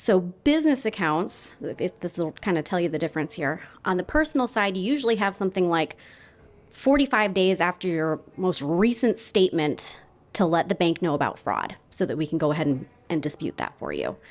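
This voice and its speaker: Lively, fairly quick speech from a woman at a fairly low pitch, on a very clean recording with a silent background. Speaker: banker. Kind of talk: conference presentation. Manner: loud.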